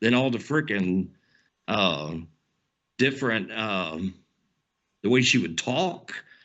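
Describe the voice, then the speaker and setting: The pitch swings very widely in an animated tone. Vocal fry runs through the voice. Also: man. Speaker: podcast co-host. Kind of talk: casual chat.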